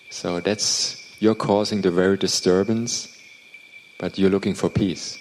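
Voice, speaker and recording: Over noticeable background noise, a man with a non-native accent speaks at a fairly slow pace in a fairly low pitch with monotone, flat intonation. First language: not English. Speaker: interpreter for a meditation teacher. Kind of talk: translated dharma talk Q&A. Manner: halting, repeats words.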